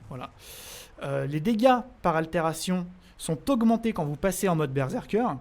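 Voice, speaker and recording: The man's high pitch swings very widely as he speaks. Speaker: gaming streamer. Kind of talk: live stream gameplay commentary. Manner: fast; casual, hesitant with fillers.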